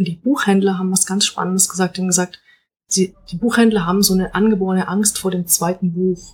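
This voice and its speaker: Somewhat breathy and monotone, with flat intonation, a woman speaks at a very fast pace. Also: medium pitch for a woman. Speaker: novelist. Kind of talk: casual chat. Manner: hesitant, many fillers.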